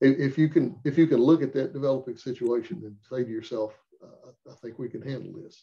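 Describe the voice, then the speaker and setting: A man's medium-pitched, somewhat breathy voice with a dark, mellow tone, a very fast pace, big swings in loudness and ordinary pitch variation. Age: 70s. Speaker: firearms instructor. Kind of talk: casual chat.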